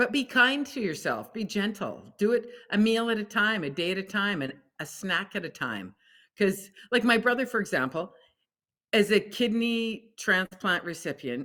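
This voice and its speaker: A bright, sharp tone with vocal fry and lively intonation, fairly slow, on a very clean recording with a silent background. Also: woman. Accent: Canadian. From Alberta, Canada. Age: 60s. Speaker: food company founder. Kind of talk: podcast interview.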